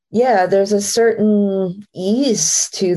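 A woman speaks at a very slow pace with an American accent. Her tone is dark and mellow, and her intonation stays fairly even. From Maine, US (Acadian French family). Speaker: jazz singer. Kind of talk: casual interview chat.

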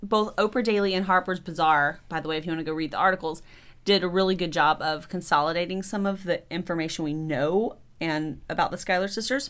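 At a fairly quick pace, a woman speaks at medium pitch on a very clean recording with a silent background. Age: 40s. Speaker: podcast co-host. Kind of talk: casual chat. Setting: in person in a home studio. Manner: animated.

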